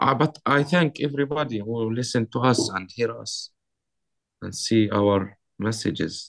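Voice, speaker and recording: Speaking at a fairly slow pace with an Arabic accent, a man keeps a medium pitch and ordinary pitch variation. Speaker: artist. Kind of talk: interview.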